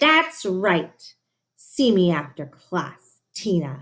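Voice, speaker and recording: Using a put-on character voice, a woman of medium pitch makes very wide pitch swings. Her pace is very slow. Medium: read story.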